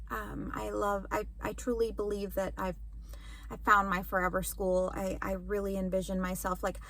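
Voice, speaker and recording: A woman talks at a moderate pace, and audible room echo can be heard. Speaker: elementary school teacher vlogger. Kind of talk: casual vlog talk to camera.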